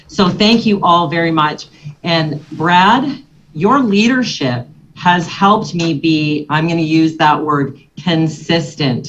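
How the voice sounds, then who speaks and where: Somewhat breathy and fairly low-pitched, a woman speaks at a very slow pace with lively intonation. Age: 60s. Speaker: financial services agent. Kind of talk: motivational talk to a business audience.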